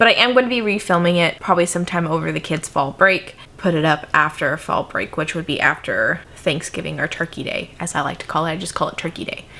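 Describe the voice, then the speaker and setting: The speech moves at a fairly quick pace with ordinary pitch variation. Noticeable background noise can be heard. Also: woman. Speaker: crafting YouTuber. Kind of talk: casual vlog talk to camera. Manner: fast when excited; sometimes slurs or mixes up words.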